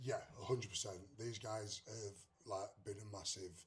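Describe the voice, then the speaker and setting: A man speaks in an English accent at a moderate pace. His voice is somewhat breathy, with monotone, flat intonation. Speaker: country singer. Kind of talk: interview. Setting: music festival.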